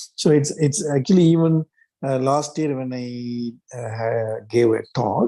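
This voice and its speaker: A man's dark, mellow voice at a medium pitch, with a Tamil accent, a fairly slow pace and ordinary pitch variation. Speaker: mental health writer. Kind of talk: group discussion. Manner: halting, many fillers.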